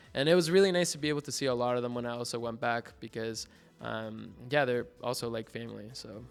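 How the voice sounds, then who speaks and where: Music plays behind a man with a Mexican accent. He talks at a very fast pace with a medium pitch and ordinary pitch variation. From Mexico. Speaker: art student. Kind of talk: casual interview. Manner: animated.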